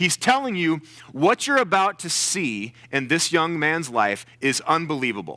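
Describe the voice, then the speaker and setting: Loud and animated, a man with a fairly high pitch and a bright, sharp tone speaks at a fairly slow pace with very wide pitch swings on a very clean recording with a silent background. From US South. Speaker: guest preacher. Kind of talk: sermon. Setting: church with congregation.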